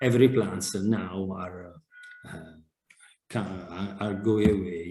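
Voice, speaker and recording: This man speaks with an Italian accent at a fairly low pitch. His tone is dark and mellow. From Italy. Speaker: fire analyst. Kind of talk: webinar presentation and Q&A. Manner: halting, many hesitations and repetitions.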